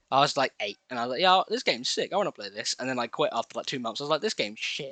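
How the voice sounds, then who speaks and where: A man's fairly high voice, bright and sharp, at a very fast pace with lively intonation, dry and close with no echo over a quiet background. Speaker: gaming YouTuber. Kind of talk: gameplay commentary.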